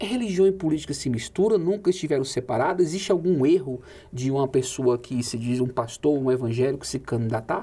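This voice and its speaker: A man's somewhat breathy voice with a dark, mellow tone, lively intonation and a fairly quick pace. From Brazil. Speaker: TV journalist and host; TV journalist, host. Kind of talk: interview. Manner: animated. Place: studio.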